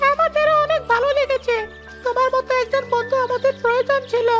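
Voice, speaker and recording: A cartoonish character voice at an extremely high pitch comes at a moderate pace. Clear music plays in the background. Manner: bubbly, excited.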